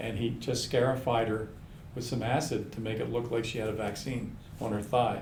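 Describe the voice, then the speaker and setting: A man's medium-pitched, monotone, flat delivery at a moderate pace, with audible room echo. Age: 70s. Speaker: osteopathic physician. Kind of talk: casual chat.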